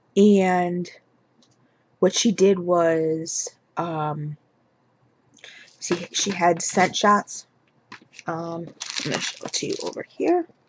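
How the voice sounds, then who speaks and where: Quiet and fairly low in pitch, a woman speaks in a flat monotone at a very slow pace with long, frequent pauses. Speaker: beauty and home fragrance vlogger; home fragrance vlogger. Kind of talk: product haul video. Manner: quiet, hushed. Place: home room. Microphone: webcam.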